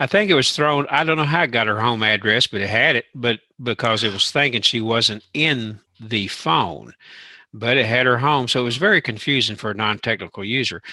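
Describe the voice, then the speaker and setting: With a Southern US accent, the speaker goes at a fairly quick pace with ordinary pitch variation. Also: man, medium pitch for a man. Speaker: tech show co-host. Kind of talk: casual chat.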